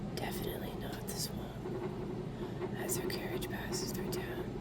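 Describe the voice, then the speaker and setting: Whispered speech comes at a fairly slow pace over noticeable background noise. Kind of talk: ASMR whispered card reading. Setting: AC and fan background noise.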